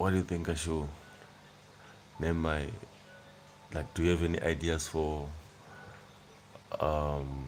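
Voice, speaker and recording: Very deep male voice in a South African accent, monotone and flat, with very even loudness, a fairly slow pace, long, frequent pauses and audible room echo. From South Africa, Limpopo (Venda). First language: Venda. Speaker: YouTuber. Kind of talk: casual livestream chat. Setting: at home on a couch at night.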